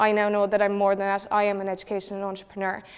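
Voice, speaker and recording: A woman with a Cork accent at a very fast pace. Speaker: secondary school teacher. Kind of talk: presentation.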